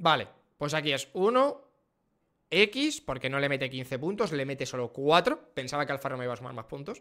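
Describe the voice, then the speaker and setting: Against a quiet background, a man with a fairly high pitch speaks at a moderate pace. His tone is bright and sharp, with ordinary pitch variation. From Spain. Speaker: F1 streamer and YouTuber; F1 streamer, YouTuber. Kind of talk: casual reaction livestream. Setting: live stream. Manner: animated. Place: home room. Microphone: studio mic.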